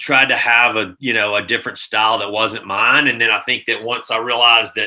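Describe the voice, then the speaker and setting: With a Southern US accent, a man talks at a fairly quick pace in a bright, sharp tone. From US South, Mississippi. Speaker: gaming sales executive. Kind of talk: casual chat.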